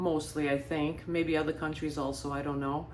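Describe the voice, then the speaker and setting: The room echo is audible. The speaker is a woman. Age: 60s. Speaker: lifestyle vlogger. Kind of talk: casual monologue. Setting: beach house.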